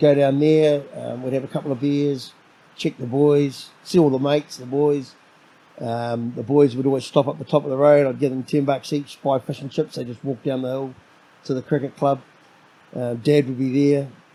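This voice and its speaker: In a New Zealand accent, a man with a fairly high pitch and a dark, mellow tone talks at a moderate pace with monotone, flat intonation. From New Zealand, Auckland. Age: 50s. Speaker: solo dad. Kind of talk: podcast interview. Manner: halting.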